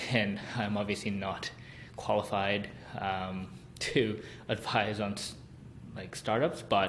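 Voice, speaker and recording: A man's fairly low, fairly even voice at a very slow pace, with long, frequent pauses and audible room echo. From South Korea and Hong Kong. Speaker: podcast host. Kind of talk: solo podcast monologue. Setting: recording room at parents' home. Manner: casual, hesitant with fillers.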